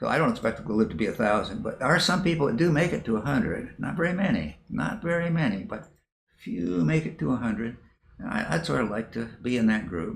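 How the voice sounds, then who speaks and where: Talking at a very fast pace, a man shows vocal fry and very wide pitch swings. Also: medium pitch for a man. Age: 80s+. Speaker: retired professor of counseling psychology. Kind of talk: interview. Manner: repetitive, halting.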